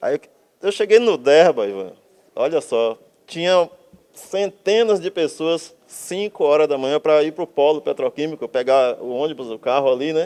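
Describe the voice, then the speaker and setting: Fairly high in pitch, a man's dark, mellow voice moves at a moderate pace with lively intonation. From Brazil, Bahia (Camaçari). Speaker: architect, artist and writer. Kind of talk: casual interview conversation. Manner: animated.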